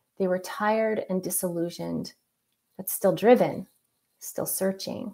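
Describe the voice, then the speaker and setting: A woman's medium-pitched voice at a fairly slow pace, with ordinary pitch variation over a quiet background. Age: 40s. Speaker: user experience architect; presenter. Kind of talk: presentation. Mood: reflective personal story. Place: home room. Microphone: webcam.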